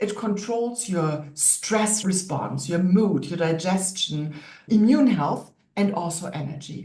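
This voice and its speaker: Speaking at a fairly slow pace in a German accent, a woman is heard with audible room echo. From Germany. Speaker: naturopath and wellness coach. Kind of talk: online workshop lecture.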